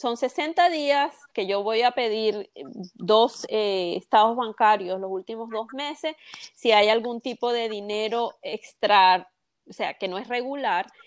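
A woman speaks at a very slow pace with a fairly high pitch and lively intonation. The sound is dry and close, with no echo. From Venezuela, Carabobo coast. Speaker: mortgage broker. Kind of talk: interview.

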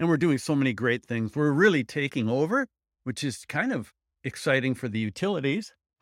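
Very clean and silent in the background, the recording is dry and close with no echo. A man talks fairly quickly at a fairly high pitch with lively intonation. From US Midwest. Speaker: solar installer and instructor. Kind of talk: interview.

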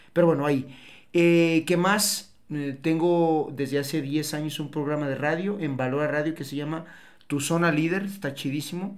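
A man speaks at a moderate pace with a fairly high pitch. His intonation is fairly even, and the room echo is audible. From Mexico, Tepatitlán, Jalisco. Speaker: business consultant. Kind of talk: casual chat. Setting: studio.

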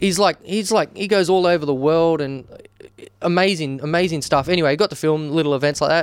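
With an Australian accent, a man with a high pitch speaks with hardly any pauses and ordinary pitch variation. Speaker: wedding and business videographer. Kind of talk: casual chat. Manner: animated.

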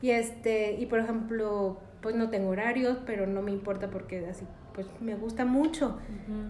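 A woman talks at a fairly quick pace, with audible room echo. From Mexico, Guanajuato (Valle de Santiago). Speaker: magazine director and entrepreneur. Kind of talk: interview.

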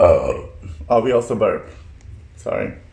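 A man's fairly slow speech carries through noticeable background noise. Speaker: podcast co-host. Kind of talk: casual chat.

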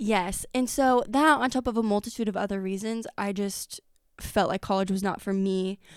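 A woman with an American accent in an unremarkable speaking voice, ordinary pitch variation, very clean recording with a silent background. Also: medium pitch for a woman, moderate pace. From US Midwest, Effingham. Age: 20s. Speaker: small business founder. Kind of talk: casual interview. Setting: studio.

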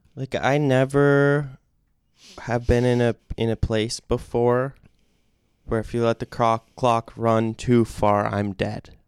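A man speaks at a very slow pace in a medium pitch, with long, frequent pauses. His intonation is monotone and flat, and the sound is dry and close with no echo. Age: 20s. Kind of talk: casual chat.

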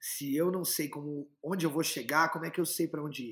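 A man's somewhat breathy, fairly high voice at a very fast pace, with fairly even intonation, on a very clean recording with a silent background. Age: 20s. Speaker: actor and filmmaker. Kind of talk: interview.

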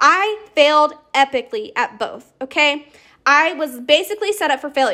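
A woman's raised, projected voice, high in pitch, bright and sharp in tone, with lively intonation and an American accent, on a very clean recording with a silent background. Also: moderate pace. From US South. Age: 20s. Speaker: podcast host, network marketer. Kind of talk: casual monologue. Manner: animated.

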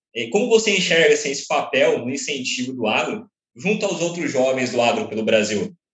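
A man talks at a fairly quick pace and fairly high pitch. His voice shows very wide pitch swings. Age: young. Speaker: podcast co-host. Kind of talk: interview.

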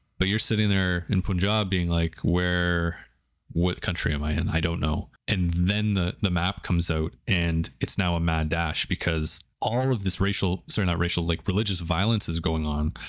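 Speaking with a Canadian accent, a man with a very deep, low pitch talks at a moderate pace with hardly any pauses, fairly even intonation and very even loudness, on a very clean recording with a silent background. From Canada. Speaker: podcast co-host. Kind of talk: casual chat.

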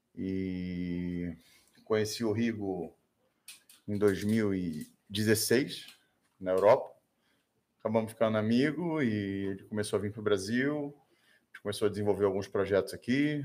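A man with a Brazilian accent speaks at a moderate pace and fairly low pitch, with ordinary pitch variation and long, frequent pauses. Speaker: self-defense trainer. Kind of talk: casual interview.

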